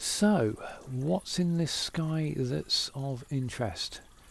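The sound is dry with no echo as a man speaks in a fairly high, somewhat breathy voice. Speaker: amateur astronomer. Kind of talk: casual talk to camera. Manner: mumbling, hesitant. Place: home room. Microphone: phone near.

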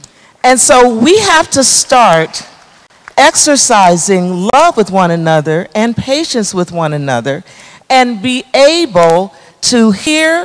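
Speaking very slowly, a woman uses a fairly high pitch with very wide pitch swings and big swings in loudness. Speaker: psychologist. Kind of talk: panel discussion. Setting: stage with audience. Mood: earnest, heartfelt. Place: hall. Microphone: handheld.

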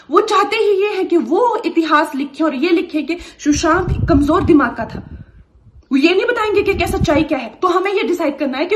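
Against noticeable background noise, a woman speaks at an extremely high pitch with lively intonation. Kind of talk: impassioned video statement. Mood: angry, emphatic, indignant. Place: home room. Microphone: camera far.

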